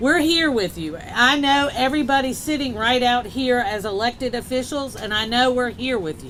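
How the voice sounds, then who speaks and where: Noticeable background noise sits behind a woman speaking at a moderate pace in a high pitch with ordinary pitch variation. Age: 50s. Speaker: state legislator. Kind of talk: public speech.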